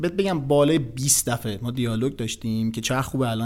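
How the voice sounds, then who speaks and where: A man is talking here. His pace is very fast. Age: 30s. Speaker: investment company executive. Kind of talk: casual interview chat.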